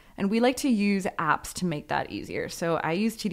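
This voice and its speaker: A woman speaks in a plain, everyday voice at a moderate pace with ordinary pitch variation. The recording is very clean, with a silent background. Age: 20s. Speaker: podcast co-host. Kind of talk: casual chat; scripted intro segment.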